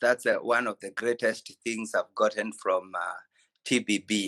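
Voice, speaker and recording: A man with a Kenyan accent speaks at a medium pitch in a bright, sharp tone. The sound is dry and close with no echo, over a quiet background. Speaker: physiotherapist. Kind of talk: ceremony speech on video call. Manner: halting.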